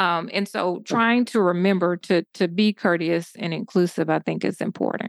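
In an ordinary speaking voice, a woman with a fairly low pitch talks at a moderate pace with fairly even intonation and hardly any pauses, in a dry, close sound with no echo and a very clean recording with a silent background. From US South, southeast Georgia. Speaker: public health doctor and diversity consultant. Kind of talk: interview.

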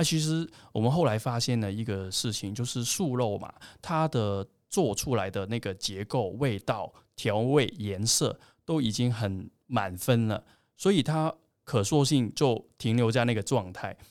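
On a very clean recording with a silent background, a man with a Cantonese accent speaks at a medium pitch and a fairly slow pace, his intonation lively. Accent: Cantonese-accented Mandarin. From Hong Kong. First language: Cantonese (speaking Chinese). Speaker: plant-based food company representative. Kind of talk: casual interview.

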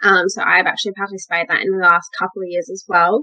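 A woman speaks in an Australian accent. Her pitch is medium, with ordinary variation. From Western Australia. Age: 20s. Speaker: model and pageant winner. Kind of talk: interview.

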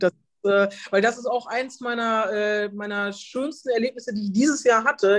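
At a moderate pace, a woman talks in an unremarkable speaking voice, fairly high in pitch, with ordinary pitch variation. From Germany, Detmold (East Westphalia). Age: 40s. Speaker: tax advisor and amateur golfer. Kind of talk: casual interview. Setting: video call.

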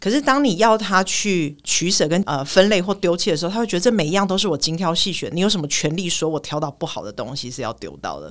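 Words pour out at a very fast pace with hardly any pauses. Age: 40s. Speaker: clinical psychologist. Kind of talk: casual chat.

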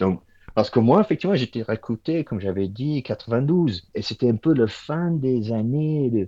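In an English accent, a man speaks at a fairly slow pace, his pitch swinging very widely. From Ireland. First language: English (speaking French). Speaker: automotive engineer. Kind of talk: interview. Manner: halting.

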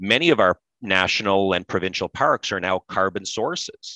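A man with an Ontario accent speaks at a fairly low pitch in a bright, sharp tone. The sound is dry and close with no echo, over a quiet background. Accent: Canadian (Ontario). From Canada, Pembroke, Ontario. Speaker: industry association executive. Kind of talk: interview. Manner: many repetitions and restarts.

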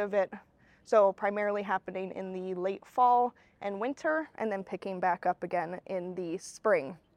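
A woman with an unremarkable speaking voice, medium pitch and ordinary pitch variation, at a moderate pace, with a dry, close sound, no echo and a quiet background. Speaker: graduate student. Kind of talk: casual interview chat.

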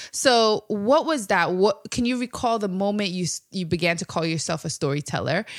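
A woman's unremarkable speaking voice at medium pitch and moderate pace, with lively intonation and a dry, close sound with no echo. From Sierra Leone, raised in New York City. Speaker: podcast host. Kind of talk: casual interview. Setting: in-person recording.

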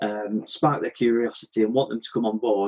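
A man talks at a fairly quick pace in an unremarkable speaking voice of medium pitch. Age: 30s. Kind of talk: podcast interview.

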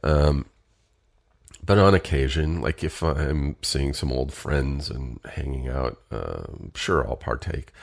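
A man talks at a very slow pace with a very deep, low pitch and vocal fry. His pitch variation is ordinary. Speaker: podcast host. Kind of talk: casual solo podcast monologue.

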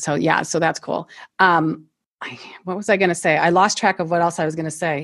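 A woman with a Midwestern US accent speaks at a fairly quick pace. Her pitch is fairly low and her intonation fairly even. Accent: US Midwest. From Ohio, US Midwest. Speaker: natural oral care business owner, former nurse. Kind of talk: interview.

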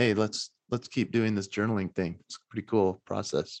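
With an American accent, a man speaks at a fairly low pitch with fairly even intonation over a quiet background. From Utah, US. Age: young. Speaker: motivational speaker. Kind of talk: podcast interview. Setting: remote call.

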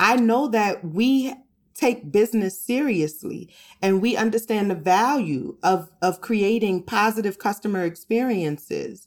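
A woman speaks at a fairly slow pace with ordinary pitch variation. The recording is very clean, with a silent background. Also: fairly high pitch for a woman, very even loudness. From New Orleans, Louisiana. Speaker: therapist and podcast host. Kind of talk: casual interview chat. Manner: hesitant, many fillers.

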